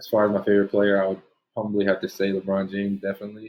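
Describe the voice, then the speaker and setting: A man's monotone, flat delivery in a Spanish accent, fairly low in pitch and very fast. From New Jersey. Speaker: basketball player. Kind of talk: interview. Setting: video call.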